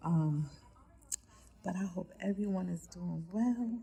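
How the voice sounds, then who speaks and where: A woman is speaking. She whispers throughout. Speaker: vlogger and truck driver. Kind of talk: casual vlog story time. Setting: urgent care waiting room. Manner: whispering.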